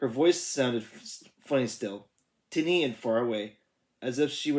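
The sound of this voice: Quiet surroundings and an unforced reading voice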